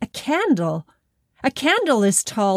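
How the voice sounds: It is a natural reading voice over a quiet background.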